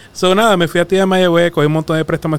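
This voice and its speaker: The speaker talks very fast with a Puerto Rican accent. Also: man. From Puerto Rico, Arroyo. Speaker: personal finance coach. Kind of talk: casual interview chat. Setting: studio.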